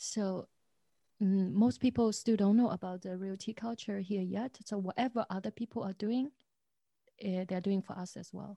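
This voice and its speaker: With a Chinese accent, a woman speaks at a moderate pace and medium pitch, her dark, mellow voice somewhat breathy, her intonation fairly even, and the sound dry and close with no echo. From China, Zhejiang province. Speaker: tea shop owner. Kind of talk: interview.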